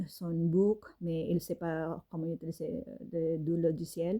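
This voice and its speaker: A woman talks with a non-native accent in a dark, mellow tone. The background is quiet. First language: not French (speaking French). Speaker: fashion designer and author. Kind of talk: casual monologue. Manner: halting, many fillers.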